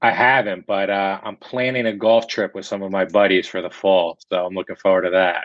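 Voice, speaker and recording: A man with a slight New Jersey accent speaks at a fairly low pitch and a fairly quick pace. His intonation is fairly even, with hardly any pauses. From central New Jersey. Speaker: real estate broker. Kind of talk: interview.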